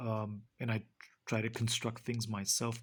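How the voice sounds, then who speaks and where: A man talks at a fairly slow pace. He has a Romanian accent. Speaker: book reviewer. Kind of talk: book review. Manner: halting, many fillers.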